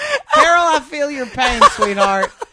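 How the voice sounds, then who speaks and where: A woman's raised, projected voice, high in pitch, at a fairly slow pace. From Louisiana (Lake Charles). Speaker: comedian. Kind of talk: casual chat. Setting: hotel room.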